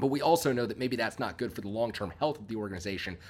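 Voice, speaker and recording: With lively intonation, a man speaks at a medium pitch in a normal speaking voice. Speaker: sports podcast host. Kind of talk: solo podcast commentary. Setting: recording while on vacation. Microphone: audio issues.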